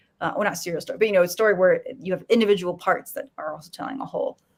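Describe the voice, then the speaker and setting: Talking at a very fast pace, a woman has an American accent and a somewhat breathy voice. Her pitch is medium with ordinary variation. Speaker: panelist on a geek culture discussion show. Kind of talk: casual panel discussion. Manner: halting, many fillers and restarts.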